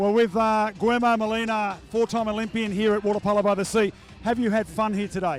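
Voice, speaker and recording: Over music in the background, a man with an Australian accent speaks very fast in a high, monotone, flat voice. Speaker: poolside sports reporter. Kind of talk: post-match interview.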